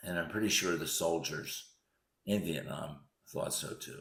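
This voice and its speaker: Someone with an American accent speaks at a very slow pace, with audible room echo. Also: man. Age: 70s. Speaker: physician recounting memories. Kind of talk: personal essay narration.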